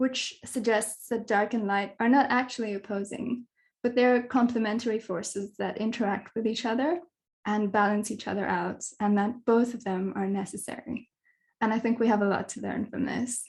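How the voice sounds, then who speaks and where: Over a quiet background, a woman with a somewhat breathy, fairly high voice speaks at a moderate pace with fairly even intonation. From Kenya. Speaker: dark sky advocate, astronomy communicator. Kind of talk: online talk / presentation.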